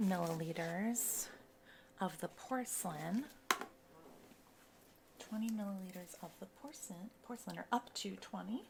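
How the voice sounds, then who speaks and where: A soft-spoken woman with a fairly high pitch talks at a fairly slow pace with very wide pitch swings over noticeable background noise. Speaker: cosmetics mixologist. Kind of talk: ASMR roleplay.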